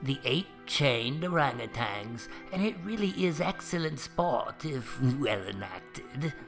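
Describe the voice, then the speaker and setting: A man uses a put-on character voice at medium pitch, talking at a fairly slow pace over clear music in the background. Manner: calm, tranquil.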